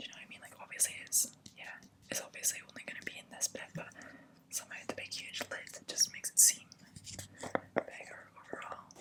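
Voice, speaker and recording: A whispering woman at a fairly quick pace, with big swings in loudness, long and frequent pauses, and noticeable background noise. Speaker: ASMR content creator. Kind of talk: ASMR skincare review, casual talk to camera. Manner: whispered, soft-spoken.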